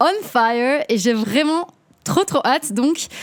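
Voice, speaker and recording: Very slow speech with ordinary pitch variation comes through in a dry, close sound with no echo. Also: woman. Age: 20s. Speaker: podcast host and singer. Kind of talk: casual monologue. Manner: hesitant, many fillers.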